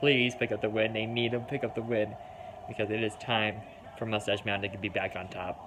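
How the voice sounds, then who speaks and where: Over noticeable background noise, a man with an American accent talks fairly quickly at a medium pitch with fairly even intonation. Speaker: wrestling fan reaction streamer. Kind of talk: live reaction commentary.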